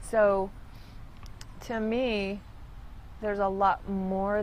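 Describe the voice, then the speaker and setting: A woman's medium-pitched, monotone voice with flat intonation and audible room echo. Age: 50s. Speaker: church reading room attendant. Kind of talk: interview.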